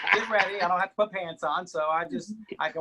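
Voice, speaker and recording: A man's high-pitched voice with a bright, sharp tone and ordinary pitch variation. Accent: American. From Mississippi, US South. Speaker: TV weatherman. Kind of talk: casual chat. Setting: video call from home. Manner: loud.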